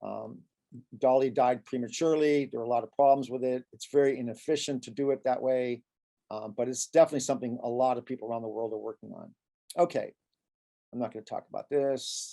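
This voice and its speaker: Very fast and dry, close with no echo, a man's medium-pitched voice has a dark, mellow tone, ordinary pitch variation and big swings in loudness. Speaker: professor. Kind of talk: lecture. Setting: video call. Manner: halting.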